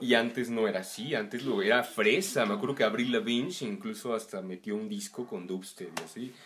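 With lively intonation, a man talks at a fairly quick pace over noticeable background noise. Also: medium pitch for a man, hardly any pauses. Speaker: musician. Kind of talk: casual chat.

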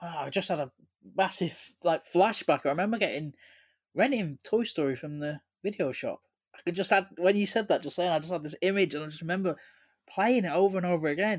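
A fairly quick pace in an English accent. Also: man, high pitch for a man, ordinary pitch variation. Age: 30s. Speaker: podcast co-host. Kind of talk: casual chat. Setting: remote recording, online.

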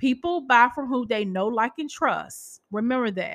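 With an American accent, a woman uses an ordinary speaking voice and ordinary pitch variation against a quiet background. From Massachusetts (Boston). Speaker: podcast host, publisher. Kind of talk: casual solo podcast talk.

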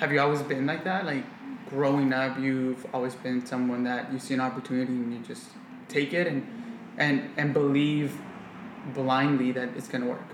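A man speaks in a monotone, flat way with an American accent. Noticeable background noise runs underneath. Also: medium pitch for a man, moderate pace. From US. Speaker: podcast host. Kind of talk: casual interview. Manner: casual.

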